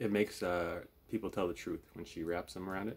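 Speaking at a fairly quick pace, a man uses a low pitch and fairly even intonation, with vocal fry and a slightly husky edge.

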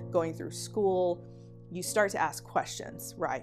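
Clear music sits in the background as a woman speaks at a fairly slow pace. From Oklahoma, USA. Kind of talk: documentary interview answer. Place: home room. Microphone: lapel.

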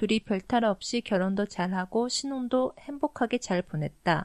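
A dark, mellow tone at a fairly slow pace, with ordinary pitch variation, a dry, close sound with no echo, and a quiet background. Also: woman. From Korea, raised in Japan. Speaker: podcast co-host. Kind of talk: casual chat with news reading in Korean.

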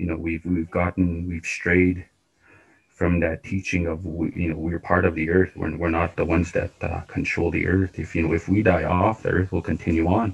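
A man with a Canadian accent speaks in a monotone, flat intonation at a very deep, low pitch, sounding somewhat breathy. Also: moderate pace. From Saskatchewan, Canada. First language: Cree. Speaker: workshop participant, Cree speaker; speaker. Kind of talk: personal sharing in discussion. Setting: video call. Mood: earnest, reflective. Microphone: video call.

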